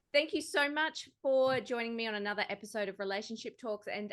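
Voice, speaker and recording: With an Australian accent, a woman talks at a fairly quick pace in a high pitch with lively intonation. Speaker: podcast host. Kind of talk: interview.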